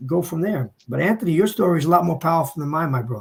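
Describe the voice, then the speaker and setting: The speaker talks at a very fast pace in an American accent. The voice is somewhat breathy. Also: man. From New Jersey, Hudson County. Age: 60s. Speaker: businessman and former drug dealer sharing his story. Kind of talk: panel discussion, testimony. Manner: animated.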